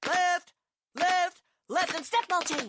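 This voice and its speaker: Extremely high pitch in a put-on character voice. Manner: barking, commanding.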